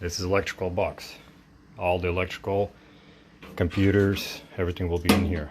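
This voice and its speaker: With a very deep, low pitch and a non-native accent, a man talks at a fairly quick pace in a monotone, flat intonation, broken by long, frequent pauses. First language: not English. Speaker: DIY mechanic. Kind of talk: casual narration of home car project.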